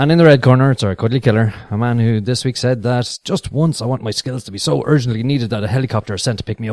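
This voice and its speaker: A man with an Irish accent talks very fast with hardly any pauses, at a medium pitch with ordinary pitch variation, in a dry, close sound with no echo. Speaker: podcast host. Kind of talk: casual chat.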